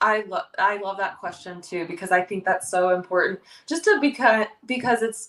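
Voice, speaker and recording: This woman has an ordinary speaking voice at a medium pitch, with ordinary pitch variation and a moderate pace. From Ohio. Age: 30s. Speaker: professional wrestler. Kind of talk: podcast interview. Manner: casual, filler-heavy.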